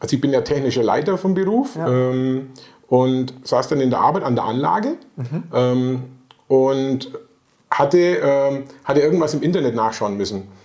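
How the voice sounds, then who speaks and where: A man speaks at a fairly slow pace and fairly high pitch, with ordinary pitch variation and long, frequent pauses, amid noticeable background noise and audible room echo. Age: 50s. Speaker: interviewee, weight-loss client. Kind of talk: interview. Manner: halting.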